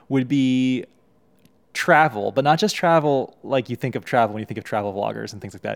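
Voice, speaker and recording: In a normal speaking voice with an American accent, the speaker moves at a fairly quick pace with lively intonation and big swings in loudness, on a very clean recording with a silent background. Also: man, medium pitch for a man. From Texas, US. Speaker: YouTuber and podcast co-host. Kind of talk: casual chat.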